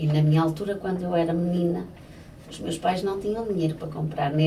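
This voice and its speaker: A woman's fairly low pitch at a very fast pace, with monotone, flat intonation, noticeable background noise and audible room echo. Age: 60s. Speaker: florist. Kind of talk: interview. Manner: hesitant, with many fillers.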